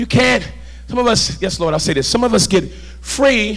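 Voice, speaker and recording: A man's animated tone and lively intonation against noticeable background noise. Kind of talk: sermon. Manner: animated, call-and-response, urgent; exhorting, rhythmic, fervent.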